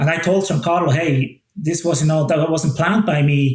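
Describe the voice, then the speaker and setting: A man's fairly high voice with a Swiss accent, at a moderate pace with ordinary pitch variation. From Switzerland. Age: 40s. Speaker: watch brand ambassador. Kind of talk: podcast interview. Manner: casual, many fillers and restarts.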